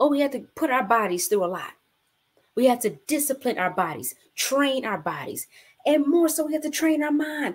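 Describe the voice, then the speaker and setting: A woman talks at a moderate pace in a high pitch with an animated tone. Her pitch swings very widely. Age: 40s. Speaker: bible study host. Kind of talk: live-streamed bible study. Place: home room. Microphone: webcam.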